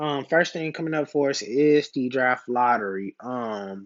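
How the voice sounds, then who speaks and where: A man is speaking. He keeps a moderate pace. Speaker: sports fan youtuber. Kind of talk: casual vlog reaction.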